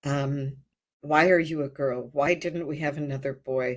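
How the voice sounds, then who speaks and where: A woman speaking very slowly with ordinary pitch variation, on a very clean recording with a silent background. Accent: Midwestern American. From US Midwest (rural Ohio). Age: 70s. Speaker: birth and hypnosis retreat leader. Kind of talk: life story interview. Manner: halting, frequent fillers and repetitions.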